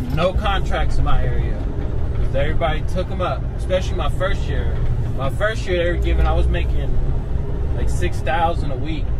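A man at a fairly quick pace, with loud background noise. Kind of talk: casual vlog chat. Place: car.

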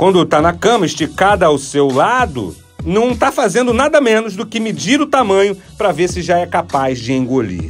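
Over music in the background, a man with a high pitch talks at a moderate pace with very wide pitch swings and hardly any pauses. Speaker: motivational speaker. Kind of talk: radio podcast storytelling segment.

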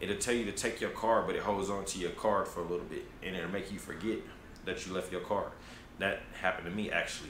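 A man with a fairly low voice is heard with audible room echo and light background noise. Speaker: travel vlogger. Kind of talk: casual vlog chat. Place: home room.

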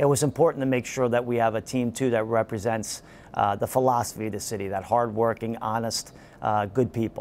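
Over light background noise, a man speaks at a fairly quick pace with fairly even intonation. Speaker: soccer head coach. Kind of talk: interview answer. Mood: calm, proud. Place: stadium. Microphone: lapel.

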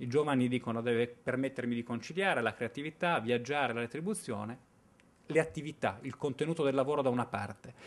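A man at a very fast pace, medium in pitch, with ordinary pitch variation. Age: 30s. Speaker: researcher presenting findings; conference speaker. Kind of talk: conference presentation. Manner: hesitant, with fillers. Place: hall. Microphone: podium.

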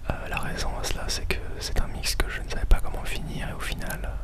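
A man whispers, soft-spoken throughout. Loud background noise surrounds him. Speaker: music producer vlogger. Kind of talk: casual vlog chat. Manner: soft close-mic French whisper. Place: home room. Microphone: studio mic.

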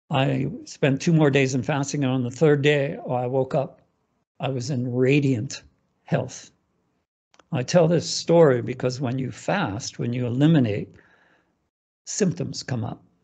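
A man's dark, mellow, somewhat breathy voice at a fairly slow pace, with ordinary pitch variation, long, frequent pauses and a quiet background. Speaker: Ayurveda practitioner; interview guest. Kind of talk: conversational interview. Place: home room. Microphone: video call.

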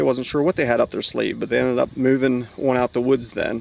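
Light background noise sits under a man's voice. He moves at a fairly quick pace, and the sound is dry with no echo. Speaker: hunter vlogger. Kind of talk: casual vlog chat.

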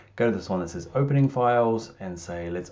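With ordinary pitch variation, a man is speaking. He keeps a moderate pace. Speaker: software tutorial narrator. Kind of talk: tutorial. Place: home room. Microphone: webcam.

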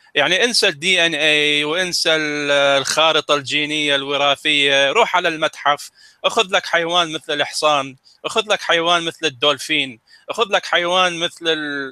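A man's fairly high-pitched voice, bright and sharp in tone, at a fairly slow pace, with very even loudness and a dry, close sound with no echo. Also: ordinary pitch variation. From Middle East. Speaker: science presenter. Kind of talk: casual educational talk.

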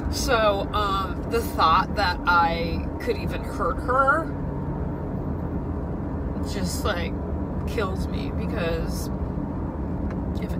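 Over loud background noise, the speaker talks at a very slow pace with long, frequent pauses. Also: woman. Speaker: dog owner vlogger. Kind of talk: casual vlog chat. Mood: emotional, upset. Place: car. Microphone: phone near.

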